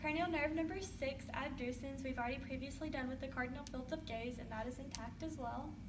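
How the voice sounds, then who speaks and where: Over noticeable background noise, a woman talks at a fairly quick pace with hardly any pauses. Her pitch is high and her intonation fairly even. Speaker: student nurse performing a head-to-toe assessment. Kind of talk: clinical assessment narration.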